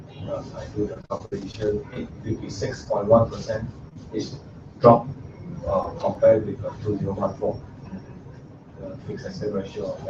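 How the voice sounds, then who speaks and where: At a moderate pace, the speaker takes long, frequent pauses, the loudness swinging widely over noticeable background noise. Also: man. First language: not English. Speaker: student presenting assignment. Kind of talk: class presentation and discussion. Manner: halting.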